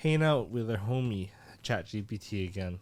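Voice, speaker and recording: The recording is dry and close, without any echo. The voice belongs to a man. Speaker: podcast co-host. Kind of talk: casual chat. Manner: casual, filler-heavy.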